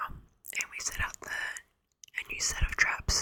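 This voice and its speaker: A woman is whispering. She has an Australian accent. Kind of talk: ASMR casual storytime talk. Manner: rambling, chatty.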